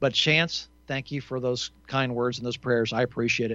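Delivered at a moderate pace, it is a plain, everyday voice. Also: man. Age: 60s. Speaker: talk radio host. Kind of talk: call-in radio show.

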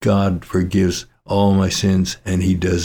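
With an American accent, a man speaks in a very deep, low voice that is somewhat breathy, on a very clean recording with a silent background. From Colorado. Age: 80s+. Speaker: pastor. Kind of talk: sermon.

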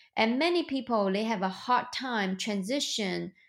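With a Chinese accent, a woman talks at a fairly slow pace and ordinary pitch variation. The recording is very clean, with a silent background. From China. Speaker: real estate investor and entrepreneur. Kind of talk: interview.

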